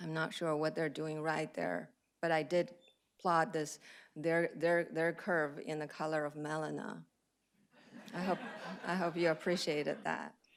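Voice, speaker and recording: A woman with a Chinese accent speaks at a fairly slow pace, leaving long, frequent pauses, her very deep, low voice monotone and flat. The recording is very clean, with a silent background. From China. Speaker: cardiologist. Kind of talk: lecture. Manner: hesitant, many fillers.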